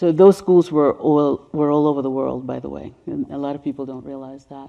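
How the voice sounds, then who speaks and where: A woman's very deep, low voice at a fairly quick pace with fairly even intonation. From Caribbean, then New York City from age ten. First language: Spanish. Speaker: race healing educator and speaker. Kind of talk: presentation with slides. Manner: conversational with fillers.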